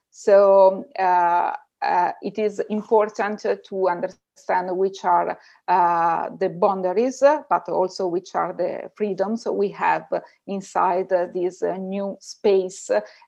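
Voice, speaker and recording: Speaking at a very slow pace against a quiet background, a woman with an Italian accent has a dark, mellow tone and monotone, flat intonation. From Italy. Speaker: researcher and data ethics teacher. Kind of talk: interview. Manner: halting.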